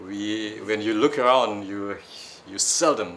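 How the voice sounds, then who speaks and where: This is a man speaking with a Malaysian accent. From Malaysia or Singapore, Malay community. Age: old. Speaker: audience member at book discussion. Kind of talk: audience question at book discussion. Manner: halting.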